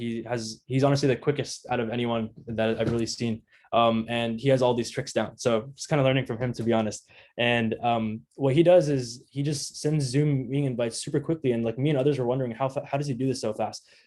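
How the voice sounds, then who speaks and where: This man speaks very fast with a fairly even intonation. His pitch sits in the medium range. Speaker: product manager, guest speaker. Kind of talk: online talk giving career tips. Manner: casual, filler-heavy.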